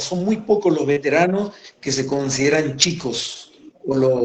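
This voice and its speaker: A man speaks at a moderate pace. His pitch is fairly high and varies in an ordinary way. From Formosa, northern Argentina. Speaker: war veteran, gendarmerie commander. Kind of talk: interview.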